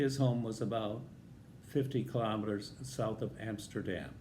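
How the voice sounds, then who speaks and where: A man with an American accent, medium pitch, vocal fry and a dark, mellow tone, at a fairly slow pace, with audible room echo. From US Midwest, northern Illinois. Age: 80s+. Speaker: vlogger telling life stories. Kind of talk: personal storytelling.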